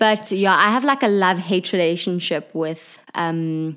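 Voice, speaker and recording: Recorded very cleanly against a silent background, a woman with a fairly low pitch, ordinary pitch variation, and a moderate pace has an unremarkable speaking voice. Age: 20s. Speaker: podcast game player. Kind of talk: casual interview.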